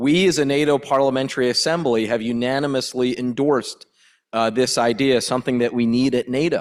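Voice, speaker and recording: A normal speaking voice from a man at a medium pitch, fairly quick in pace, with very even loudness and fairly even intonation, on a very clean recording with a silent background. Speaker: politician. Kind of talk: panel discussion.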